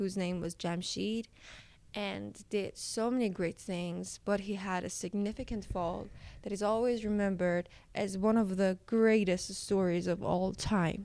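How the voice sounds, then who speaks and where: Recorded very cleanly over a silent background, a woman talks at a fairly slow pace and medium pitch in a dark, mellow tone with ordinary pitch variation. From Iran. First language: Persian. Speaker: storyteller. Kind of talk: casual storytelling narration. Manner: hesitant, with fillers.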